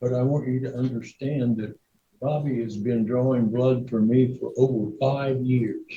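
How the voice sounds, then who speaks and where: Fairly slow and fairly even in intonation, a man talks at a medium pitch. His tone is dark and mellow. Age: 80s+. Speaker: defendant in court. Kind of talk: testimony. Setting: courtroom. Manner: loud; halting.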